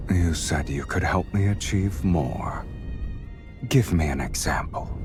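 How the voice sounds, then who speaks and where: A man's put-on character voice, very deep and low, at a fairly slow pace over loud background music. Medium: game stream. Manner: cold, terse.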